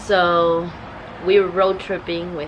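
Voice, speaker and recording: A woman speaks at a very slow pace amid noticeable background noise. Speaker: travel vlogger. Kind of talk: casual vlog talk to camera. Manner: low and weak.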